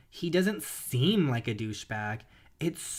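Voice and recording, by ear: Someone reads a text aloud. The voice sounds natural throughout.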